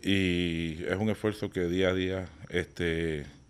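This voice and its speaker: Over a very clean recording with a silent background, a man with a Puerto Rican accent speaks at a very deep, low pitch with fairly even intonation. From Puerto Rico, Bayamón. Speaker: contractor, business owner. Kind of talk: casual interview.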